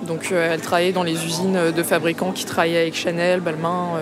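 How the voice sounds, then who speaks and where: A woman speaks at a moderate pace in a fairly low pitch, with audible room echo. Music plays in the background. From Paris area (Vitry-sur-Seine). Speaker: musician and composer. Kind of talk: casual chat over lunch. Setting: restaurant.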